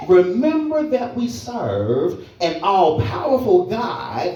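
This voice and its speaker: A man's very slow speech comes with music in the background. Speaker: minister delivering a funeral eulogy. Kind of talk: sermon / eulogy preached to a congregation. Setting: church service with audience responding aloud. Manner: preaching cadence, emphatic, repetitive phrasing.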